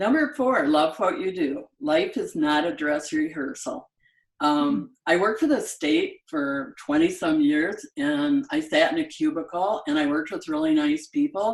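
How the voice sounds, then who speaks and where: Her pitch swings very widely as a woman speaks at a fairly slow pace. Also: medium pitch for a woman. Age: 80s+. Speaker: business founder. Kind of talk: interview answer.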